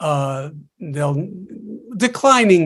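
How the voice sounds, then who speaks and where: In a New York accent, a man speaks at a fairly high pitch on a very clean recording with a silent background. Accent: New York City English. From New York City, Queens. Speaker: linguistics professor. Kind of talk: panel discussion.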